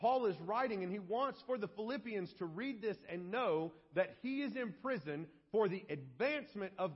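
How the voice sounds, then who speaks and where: Loud and high-pitched, a man speaks at a fairly slow pace with lively intonation. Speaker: pastor. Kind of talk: sermon. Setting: church.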